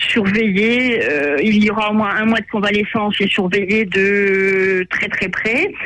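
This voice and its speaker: A man with a high pitch speaks in a raised, projected voice at very even loudness and fairly even intonation. His pace is very slow with hardly any pauses, over noticeable background noise. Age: 60s. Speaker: caller. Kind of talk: personal testimony.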